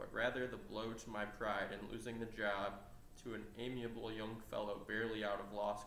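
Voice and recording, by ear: Intonation holds fairly even. The speaker is reading aloud in a natural voice.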